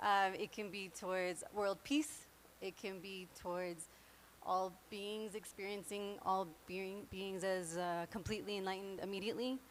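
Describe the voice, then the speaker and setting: A woman speaks with a medium pitch. Her intonation is fairly even. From New York. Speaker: meditation class teacher. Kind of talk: class instruction. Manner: fast.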